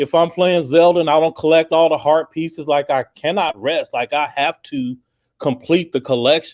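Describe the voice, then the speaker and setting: A man's fairly high pitch in a normal speaking voice, moderate pace and ordinary pitch variation, with a dry, close sound with no echo and a very clean recording, silent background. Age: 50s. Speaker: gaming podcast co-host. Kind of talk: casual chat.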